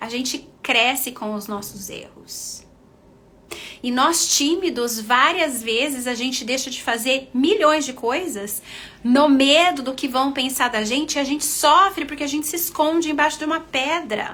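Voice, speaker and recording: In a Brazilian accent, a woman speaks fairly slowly at a high pitch, with an animated tone and ordinary pitch variation. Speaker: nurse and confidence coach. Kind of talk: live stream talk.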